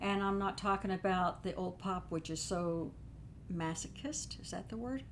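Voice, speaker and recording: A woman is speaking at a medium pitch. Her pitch varies in an ordinary way. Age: 70s. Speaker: spiritual show co-host. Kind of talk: casual chat. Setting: live stream with chat.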